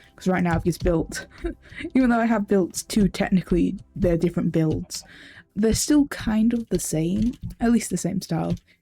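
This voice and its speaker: A fairly quick pace with music in the background. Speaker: gaming video creator. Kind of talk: gameplay commentary. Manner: hesitant, many fillers; loud.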